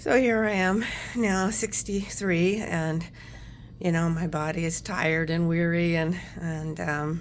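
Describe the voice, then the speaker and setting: A woman with a fairly low pitch speaks at a fairly slow pace with fairly even intonation. Audible room echo surrounds her voice. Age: 60s. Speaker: nurse working from home, vlogger. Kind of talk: casual chat. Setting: home. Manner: hesitant, many fillers.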